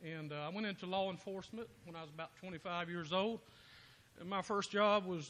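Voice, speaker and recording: A man's high-pitched voice, bright and sharp in tone, with fairly even intonation at a fairly quick pace. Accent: Georgia. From US South (south Georgia). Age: 50s. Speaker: political candidate, former state trooper. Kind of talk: impromptu campaign speech at party meeting. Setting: local party meeting.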